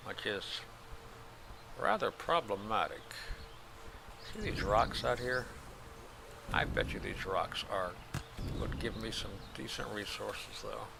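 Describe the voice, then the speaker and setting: Mumbling in a relaxed tone, a man speaks at a fairly slow pace with long, frequent pauses. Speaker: gaming video creator. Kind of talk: let's play commentary. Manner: casual, relaxed.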